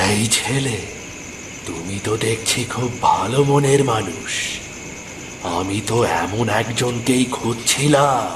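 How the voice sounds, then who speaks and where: Through loud background noise, a cartoonish character voice speaks at a very slow pace. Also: man, medium pitch for a man. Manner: warm and gently teasing.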